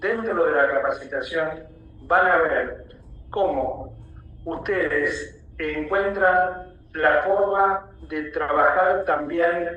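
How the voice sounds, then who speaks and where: A high-pitched man speaks at a very slow pace with fairly even intonation. Audible room echo and noticeable background noise fill the recording. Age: 80s+. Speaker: alternative health lecturer. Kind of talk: lecture.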